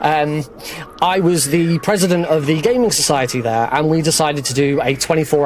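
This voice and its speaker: A man with a British accent, fairly high in pitch, ordinary pitch variation, and noticeable background noise. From Britain. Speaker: speedrunner. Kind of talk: live commentary. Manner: halting.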